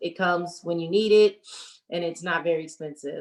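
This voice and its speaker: A woman's fairly low voice with fairly even intonation. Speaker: direct sales team leader. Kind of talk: training call. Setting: video call. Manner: fast.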